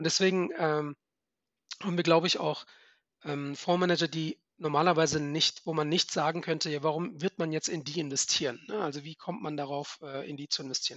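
This man has a plain, everyday voice, fairly high in pitch. He talks at a fairly quick pace with fairly even intonation. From Germany, Frankfurt. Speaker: venture capital fund manager. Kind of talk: interview.

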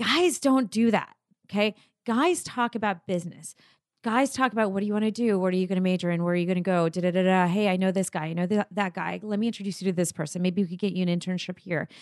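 A woman's animated, very fast voice at medium pitch, with ordinary pitch variation. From abroad (immigrant). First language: not English. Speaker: entrepreneur. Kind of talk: interview.

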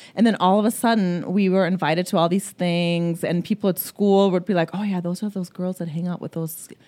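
At a fairly quick pace, a woman with a German accent speaks in a fairly low pitch with a dark, mellow tone and ordinary pitch variation, in a very clean recording with a silent background. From Germany. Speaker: life coach. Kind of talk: interview.

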